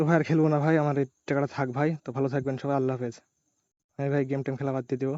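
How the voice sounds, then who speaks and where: Soft-spoken and monotone with flat intonation, a man talks in a fairly high pitch. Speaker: gambling game streamer. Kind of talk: live gameplay commentary. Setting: at home at night, neighbours nearby. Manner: soft-spoken, speaks quietly.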